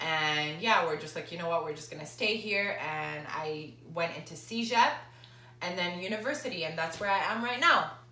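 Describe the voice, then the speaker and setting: Noticeable background noise and audible room echo surround a woman's voice. She speaks at a moderate pace with a fairly low pitch and lively intonation. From Lebanon and Dubai. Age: 20s. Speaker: fitness trainer and vlogger. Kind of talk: casual Q&A vlog. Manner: casual, with fillers.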